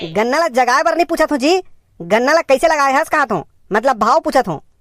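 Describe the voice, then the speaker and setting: On a very clean recording with a silent background, a cartoonish character voice chatters at a very fast pace in a high pitch. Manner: bargaining, plain village talk.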